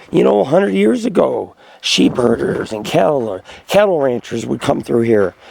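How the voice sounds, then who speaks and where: Moderately paced speech from a man amid noticeable background noise. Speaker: outdoor vlogger, bigfoot hunter. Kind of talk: casual vlog narration while hiking. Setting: outdoors on a hiking trail.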